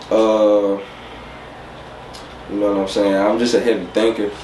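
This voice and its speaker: Amid noticeable background noise and audible room echo, a man with an American accent speaks at a moderate pace in a fairly low, monotone, flat voice. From St. Louis, Missouri. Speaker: rapper. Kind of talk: interview. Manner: casual, filler-heavy.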